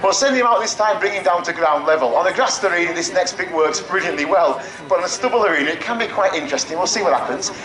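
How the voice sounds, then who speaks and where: A high-pitched man talks at a very fast pace with very wide pitch swings, with audible room echo and noticeable background noise. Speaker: falconer giving a flying display. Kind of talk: live display commentary to an audience. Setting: outdoor show arena with audience. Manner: animated, jokey.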